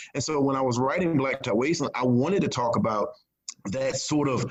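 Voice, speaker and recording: A man with a Virginia accent speaks at medium pitch and a moderate pace. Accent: Southern US (Virginia). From rural Virginia, US South. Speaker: crime novelist. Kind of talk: interview.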